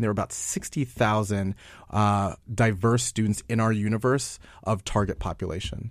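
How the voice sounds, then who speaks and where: A man with an American accent and a normal speaking voice talks at a fairly low pitch with fairly even intonation, on a very clean recording with a silent background. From New York. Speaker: nonprofit founder. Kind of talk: interview. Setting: studio.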